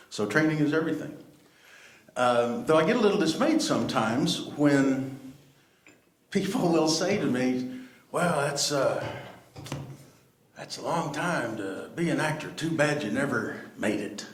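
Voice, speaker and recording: A man's fairly high voice with an American accent and lively intonation, broken by long, frequent pauses, amid audible room echo and noticeable background noise. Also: fairly slow pace. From Texas, Dallas. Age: 60s. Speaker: actor. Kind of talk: panel talk.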